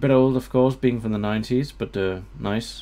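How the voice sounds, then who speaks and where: A man talks at a moderate pace. He has a Danish accent. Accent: Danish accent, trying for British English. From Denmark. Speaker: gaming video creator. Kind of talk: let's play commentary. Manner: hesitant, many fillers.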